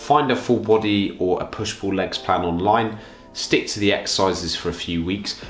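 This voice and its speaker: Fairly low-pitched man with a British accent, audible room echo and music in the background. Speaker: fitness coach. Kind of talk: tutorial.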